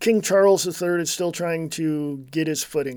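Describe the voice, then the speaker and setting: A high-pitched man with an American accent at a fairly slow pace, recorded very cleanly against a silent background. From United States. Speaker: political podcast host. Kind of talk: solo commentary monologue. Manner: casual, halting with fillers.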